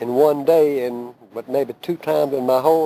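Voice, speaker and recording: With a Southern US accent, a man speaks in a dark, mellow tone and fairly even intonation. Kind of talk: oral history storytelling.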